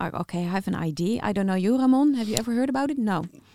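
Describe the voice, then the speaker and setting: Recorded dry and close with no echo, a woman with a Dutch accent speaks in a dark, mellow tone with lively intonation. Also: very clean recording, silent background. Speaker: podcast co-host. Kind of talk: interview.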